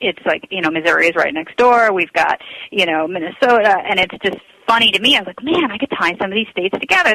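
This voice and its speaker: Speech comes at a very fast pace in an American accent. The sound is dry and close with no echo, though noticeable background noise is present. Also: woman. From Long Island, New York. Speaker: national anthem singer. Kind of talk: radio interview.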